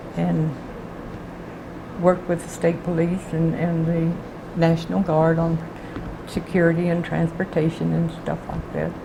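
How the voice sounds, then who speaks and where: Against noticeable background noise, a woman speaks at a fairly slow pace in a fairly low pitch. Her intonation is monotone and flat, broken by long, frequent pauses. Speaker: retired clerk of the state supreme court. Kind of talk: interview answer.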